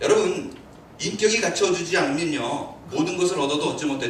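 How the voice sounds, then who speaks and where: Speaking at a fairly quick pace with ordinary pitch variation, a man with a high voice is heard through audible room echo and noticeable background noise. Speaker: pastor. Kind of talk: sermon.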